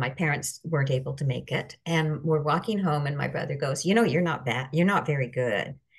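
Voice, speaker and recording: A woman with a Canadian accent speaks in a very deep, low voice that is somewhat breathy, with ordinary pitch variation. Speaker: life coach. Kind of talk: casual chat.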